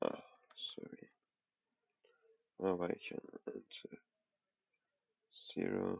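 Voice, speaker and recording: A man whispers with a non-native accent. His pace is very slow, broken by long, frequent pauses. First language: not English. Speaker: programming tutorial creator. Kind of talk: coding tutorial. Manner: halting, thinking aloud.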